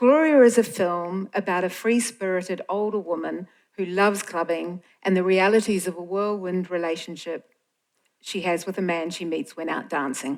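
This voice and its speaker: A woman speaks in a New Zealand accent at a moderate pace. Her pitch is medium, with ordinary variation. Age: old. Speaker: film organisation director. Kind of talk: stage introduction speech.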